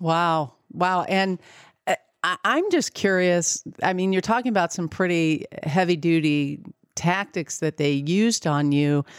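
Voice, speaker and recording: A woman with a fairly low pitch speaks in a normal speaking voice at a fairly slow pace, with ordinary pitch variation and very even loudness, in a dry, close sound with no echo and a very clean recording with a silent background. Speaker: podcast host. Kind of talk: interview.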